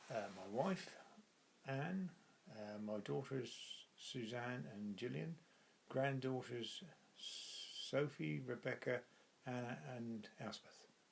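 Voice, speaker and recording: Speaking at a very slow pace with long, frequent pauses, a man uses a medium pitch and lively intonation. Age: 70s. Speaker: grandfather. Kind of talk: interview.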